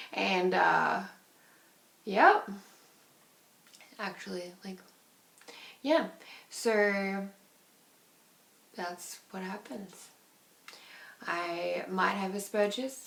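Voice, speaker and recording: Speech moves at a very slow pace, broken by long, frequent pauses. Pitch varies in an ordinary way, and room echo is audible. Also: woman, medium pitch for a woman. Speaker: vlogger. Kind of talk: personal video diary. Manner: animated.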